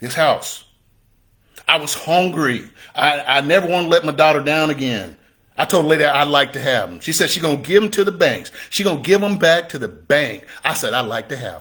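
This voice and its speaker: A man's voice sounds bright and sharp, pitched fairly high. His pitch varies in an ordinary way. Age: 60s. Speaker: real estate investor and coach. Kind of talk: motivational talk. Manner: animated.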